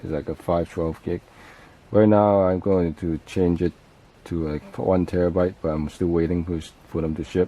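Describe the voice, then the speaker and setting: Mumbling in a monotone, flat intonation, a man with a very deep, low pitch talks at a moderate pace. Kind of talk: casual tech talk to camera. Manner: mumbling, hesitant.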